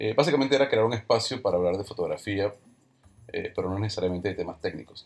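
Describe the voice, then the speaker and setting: A man speaks very fast while music plays behind him. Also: medium pitch for a man, ordinary pitch variation. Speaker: podcast host and photographer. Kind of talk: casual interview podcast.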